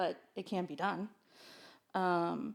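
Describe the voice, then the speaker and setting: The speaker is a woman with a medium pitch. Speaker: special education parent advocate. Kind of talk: casual chat.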